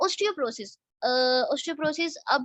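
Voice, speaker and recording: A high-pitched woman's animated tone, with a dry, close sound and no echo. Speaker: network marketing team leader. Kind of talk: online training session. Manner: explanatory, animated.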